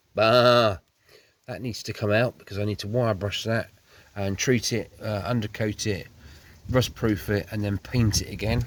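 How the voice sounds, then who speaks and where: A man with an English accent speaks in a fairly low voice. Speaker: car restoration youtuber. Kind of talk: tutorial. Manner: halting; casual.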